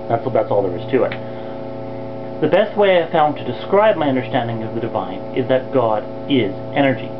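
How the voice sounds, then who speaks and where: Amid noticeable background noise and audible room echo, a man talks at a fairly quick pace and medium pitch with lively intonation and long, frequent pauses. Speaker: video blogger. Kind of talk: scripted introduction video blog. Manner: fast; reading from a script. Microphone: poor quality photo camera video mode.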